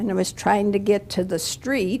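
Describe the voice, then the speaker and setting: A woman's voice with vocal fry. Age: 80s+. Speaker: resident, dog walker. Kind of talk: public comment at village board meeting. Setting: village board meeting.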